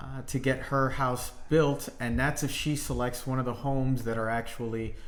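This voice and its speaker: With monotone, flat intonation, a man at medium pitch speaks at a fairly slow pace amid audible room echo. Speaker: real estate agent. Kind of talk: casual chat. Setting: livestream. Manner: loud.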